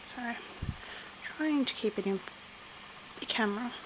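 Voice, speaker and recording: A woman speaks with an Australian accent at a fairly high pitch. Noticeable background noise is present. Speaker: crochet hobbyist. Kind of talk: tutorial.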